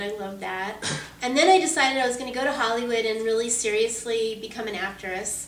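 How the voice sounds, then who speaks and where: A woman with an American accent speaks at a fairly high pitch, with noticeable background noise and audible room echo. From Southern California, Orange County. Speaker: voice actress. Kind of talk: interview. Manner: casual, conversational.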